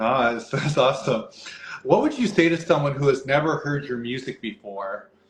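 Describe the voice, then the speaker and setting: A man speaks at a moderate pace with fairly high pitch and ordinary pitch variation over noticeable background noise. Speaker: community interviewer. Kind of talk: interview questions.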